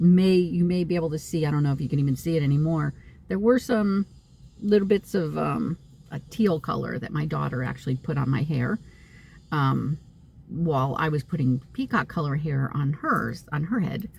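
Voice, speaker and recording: Very deep, low pitch from a woman, with lively intonation, a moderate pace and noticeable background noise. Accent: American. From US Northeast (upstate New York). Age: 60s. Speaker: psychic medium vlogger. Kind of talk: casual vlog monologue. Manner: halting, many fillers.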